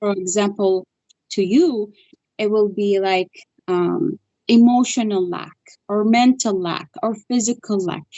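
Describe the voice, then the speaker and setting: With a non-native accent, a woman speaks at a moderate pace and medium pitch, using ordinary pitch variation and long, frequent pauses. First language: not English. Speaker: spiritual healer. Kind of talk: interview.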